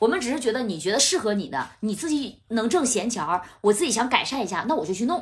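Loud and very fast, a woman speaks with hardly any pauses. Her fairly high pitch swings very widely. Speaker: TV host and debate show debater. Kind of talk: casual chat. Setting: at the host's home.

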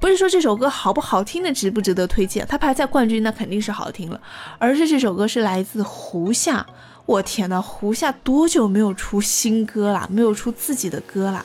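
A woman at a moderate pace with music in the background. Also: fairly high pitch for a woman. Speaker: radio host. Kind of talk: music chart show presenting.

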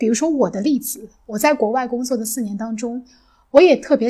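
A woman speaks in a high voice with a dark, mellow tone. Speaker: podcast host. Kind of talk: casual chat.

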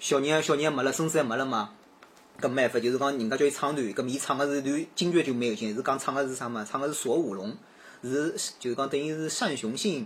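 A man talks at a very fast pace. His pitch is fairly high with ordinary variation. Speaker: podcast guest. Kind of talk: casual chat.

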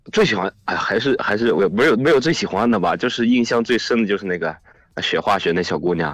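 Speaking at a very fast pace, a man uses a medium pitch and lively intonation. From Shanxi, China. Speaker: volunteer teacher in Guizhou. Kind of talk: casual phone conversation. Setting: phone call.

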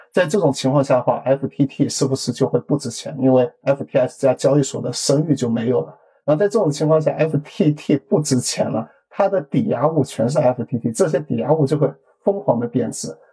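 An ordinary speaking voice, from a man with a fairly high pitch and ordinary pitch variation at a moderate pace. The sound is dry and close, with no echo. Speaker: crypto enthusiast and programmer. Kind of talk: casual chat. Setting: video call.

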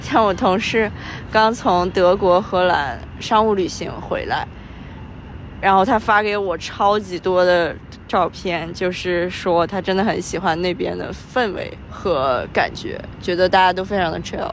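Using an ordinary speaking voice, a woman talks at a fairly slow pace and medium pitch with ordinary pitch variation. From Qingdao, Shandong, China. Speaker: podcast co-host, remote worker. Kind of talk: casual chat. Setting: outdoors, recorded while walking.

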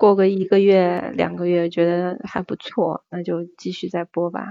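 This woman speaks at a medium pitch. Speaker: office clerk and part-time livestreamer. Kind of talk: casual chat.

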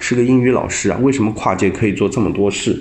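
A man's somewhat breathy voice. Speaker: angel investor. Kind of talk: debate-style commentary.

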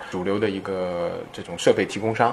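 Fairly quick speech from a man amid noticeable background noise. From Shanghai, China. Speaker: chip design entrepreneur. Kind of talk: interview. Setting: startup incubator in Shanghai.

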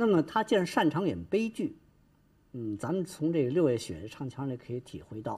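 A man speaks at a moderate pace in a fairly high, somewhat breathy voice. His tone is dark and mellow, with very wide pitch swings. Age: old. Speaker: Peking opera expert. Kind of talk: interview commentary. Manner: halting, many fillers.

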